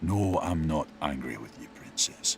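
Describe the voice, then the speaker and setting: A man growls in a put-on character voice at a moderate pace, with clear background noise behind him. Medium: solo performance. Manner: gruff, commanding.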